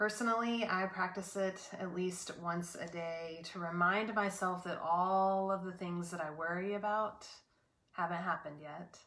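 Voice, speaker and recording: Soft-spoken and gentle in tone, a woman talks with fairly even intonation and a bright, sharp tone. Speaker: prayer leader. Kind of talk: guided meditation. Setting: online video service. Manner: slow, soft-spoken, calming; gentle pauses, inviting tone. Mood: calm, gentle, meditative. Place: home room. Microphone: webcam.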